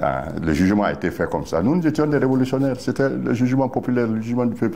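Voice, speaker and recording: This man's tone is dark and mellow, and he talks at a very fast pace. His intonation is lively while his loudness stays very even. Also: medium pitch for a man. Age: 80s+. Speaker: former party official, political veteran. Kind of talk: interview. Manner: halting, with repetitions.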